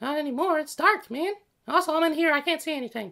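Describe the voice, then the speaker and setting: In a put-on character voice, the speaker goes at a very fast pace with a high pitch. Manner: casual, laid-back, disoriented.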